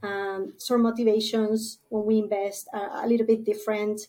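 A woman's dark, mellow voice at medium pitch, with a moderate pace, fairly even intonation and a very clean recording over a silent background. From Spain. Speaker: venture capital partner. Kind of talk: interview.

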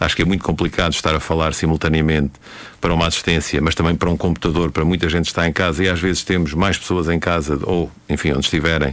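Speaking at a very fast pace, a man keeps his very deep, low voice at a very even loudness with a monotone, flat intonation. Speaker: university professor and radio commentator. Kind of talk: radio current-affairs commentary. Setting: radio studio.

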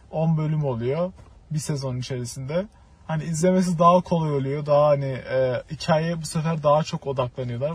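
A man talks at a moderate pace in a somewhat breathy voice. His pitch is fairly high and his intonation fairly even. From Turkey. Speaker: film student. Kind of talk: casual chat.

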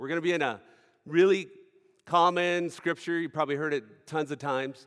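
Recorded very cleanly against a silent background, a man talks at a fairly quick pace. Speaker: mission organization director. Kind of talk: sermon. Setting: stage with audience. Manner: halting.

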